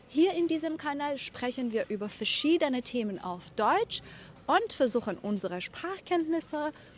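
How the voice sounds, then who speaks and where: Noticeable background noise sits behind a woman with a high pitch. Her speech is fairly slow, with very wide pitch swings. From Iran. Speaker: German teacher. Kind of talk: vlog narration for language learners. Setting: outdoors. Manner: slow, clear articulation.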